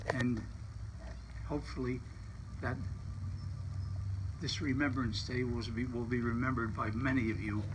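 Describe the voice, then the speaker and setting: A man speaks at a moderate pace with fairly even intonation. Noticeable background noise can be heard. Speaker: war veteran. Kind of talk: brief public remarks at ceremony. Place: street. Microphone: camera far.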